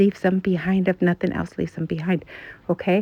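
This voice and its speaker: The woman's speech moves along at a fairly quick pace. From northern US, later moved to Texas. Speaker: deal-hunting vlogger. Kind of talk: casual shopping tips video. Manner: animated.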